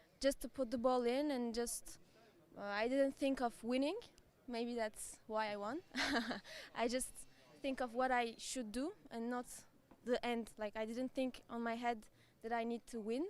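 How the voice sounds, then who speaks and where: A woman with a Turkish accent speaks at a moderate pace and a fairly high pitch, with fairly even intonation. Her loudness swings widely, and she takes long, frequent pauses. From Turkey. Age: 20s. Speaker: amateur tennis player. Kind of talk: interview. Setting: arena. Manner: halting.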